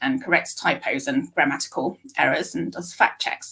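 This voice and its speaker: A woman with a British accent talks with vocal fry. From UK. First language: Japanese. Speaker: speech scientist. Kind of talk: interview. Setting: live stream.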